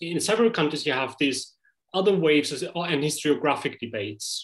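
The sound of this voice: The speaker has a slightly husky edge and ordinary pitch variation. The pace is moderate. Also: man.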